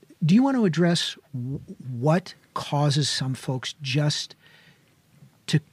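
The man's voice is somewhat breathy. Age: 60s. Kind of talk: casual chat.

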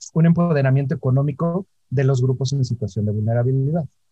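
A man speaks at a fairly high pitch with a dark, mellow tone and a somewhat breathy quality. His intonation stays fairly even, and the sound is dry and close, with no echo. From Mexico, Orizaba, Veracruz. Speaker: LGBT business federation co-founder. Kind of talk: interview.

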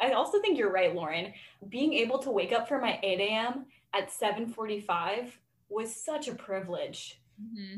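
A woman with a plain, everyday voice speaks at a fairly slow pace in an American accent, her fairly high pitch showing ordinary pitch variation. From Florida. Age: 20s. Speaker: college student podcast co-host. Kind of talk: casual chat.

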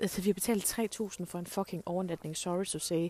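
A woman is talking. Her voice has a dark, mellow tone. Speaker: podcast host. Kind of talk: casual solo podcast monologue. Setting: outdoors on a walk.

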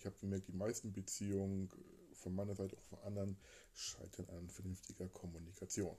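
A man speaks in a very deep, low voice that is somewhat breathy, with a dark, mellow tone and monotone, flat intonation. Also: fairly quick pace. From Hamburg. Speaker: podcast host. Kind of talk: casual chat. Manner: halting.

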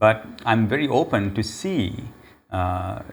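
A man with a fairly low pitch speaks in a space with audible room echo. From Sri Lanka. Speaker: pastor. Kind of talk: interview.

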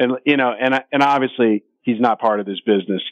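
This man has a medium pitch. He talks at a fairly quick pace. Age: 50s. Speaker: sports betting radio host. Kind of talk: casual chat. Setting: studio.

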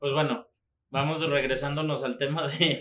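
Using a Mexican accent, a man talks at a moderate pace with a fairly high pitch. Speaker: football podcast host. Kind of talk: casual chat.

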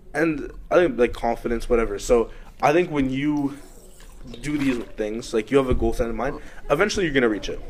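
In a normal speaking voice, a man with a fairly high pitch moves at a fairly quick pace and ordinary pitch variation. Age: young. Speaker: university student. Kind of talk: casual chat.

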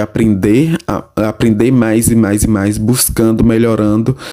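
Over noticeable background noise, a man speaks at a moderate pace and medium pitch with fairly even intonation. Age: 20s. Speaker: university student. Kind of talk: interview.

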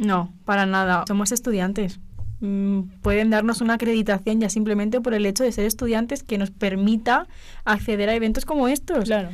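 The pace is moderate, with ordinary pitch variation. Loudness stays very even throughout. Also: woman. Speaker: journalism student. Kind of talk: casual chat. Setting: studio.

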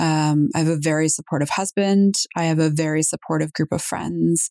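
A woman with a Canadian accent has a plain, everyday voice, fairly low in pitch with fairly even intonation at a moderate pace. The recording is very clean with a silent background, its sound dry and close with no echo. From Toronto, Canada. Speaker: police communications manager. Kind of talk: interview.

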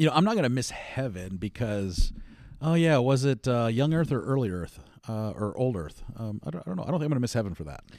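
Very wide pitch swings mark this very fast speech with an American accent. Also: man. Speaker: podcast co-host. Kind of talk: casual chat.

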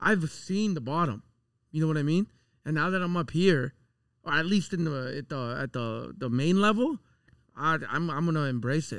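A man talks with lively intonation at a moderate pace, his fairly high pitch set in an ordinary speaking voice. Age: 30s. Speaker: podcast host. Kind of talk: casual chat.

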